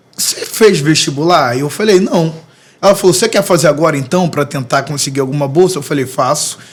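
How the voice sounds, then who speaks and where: A man talks at a fairly quick pace over noticeable background noise. His fairly high pitch shows ordinary variation. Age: 30s. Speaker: music producer and preacher. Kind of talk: podcast interview, testimony.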